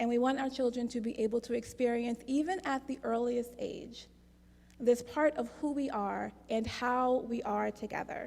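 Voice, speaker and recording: A woman's high, dark and mellow voice with monotone, flat intonation. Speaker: worship leader. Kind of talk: church service announcements.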